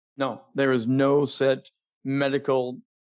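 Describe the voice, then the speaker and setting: With monotone, flat intonation, a man talks at a medium pitch. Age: 50s. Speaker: professional broadcaster and speaking coach. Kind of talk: interview.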